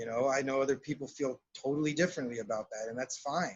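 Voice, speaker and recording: With an American accent, a man speaks in an unremarkable speaking voice at a fairly quick pace, his fairly high pitch carrying fairly even intonation. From South Texas, Laredo. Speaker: shamanic counselor and psychotherapist. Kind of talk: interview.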